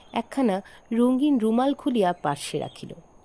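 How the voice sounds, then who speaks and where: Her voice is fairly high, with very wide pitch swings and a dark, mellow tone from this woman. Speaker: audio story narrator. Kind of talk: horror story reading.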